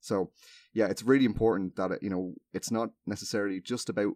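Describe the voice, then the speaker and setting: A man with an Irish accent talks at a very fast pace in a fairly low pitch, recorded very cleanly with a silent background and a dry, close sound with no echo. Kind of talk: casual chat.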